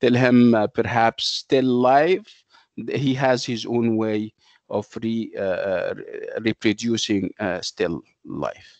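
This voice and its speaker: A man speaks at a very slow pace. The background is quiet, and the sound is dry with no echo. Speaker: lecturer. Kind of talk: lecture. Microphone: video call.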